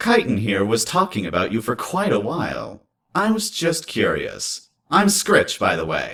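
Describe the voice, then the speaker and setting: A man puts on a character voice pitched high. He delivers it at a moderate pace. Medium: read story. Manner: casual, easygoing.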